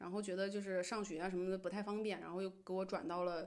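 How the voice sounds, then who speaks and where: A woman talks at a very fast pace. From Beijing, China (Henan family roots). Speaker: internet industry employee. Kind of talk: casual chat.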